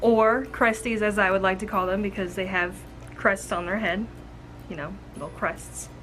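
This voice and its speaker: Speech at a moderate pace carries audible room echo, with music in the background. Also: woman. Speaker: reptile care YouTuber. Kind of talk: tutorial. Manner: casual, chatty.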